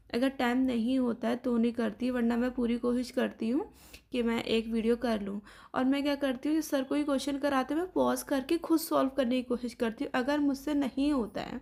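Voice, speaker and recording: At a moderate pace, a woman speaks with a high pitch, a dark, mellow tone and fairly even intonation. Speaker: exam aspirant vlogger. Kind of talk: casual vlog narration.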